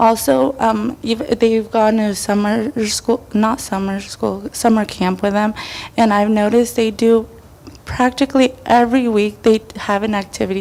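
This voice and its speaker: Her pitch sits fairly high and her intonation stays fairly even as the woman talks at a moderate speed. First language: Spanish. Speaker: parent giving public comment. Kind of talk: public comment at school board meeting. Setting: public board meeting. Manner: halting.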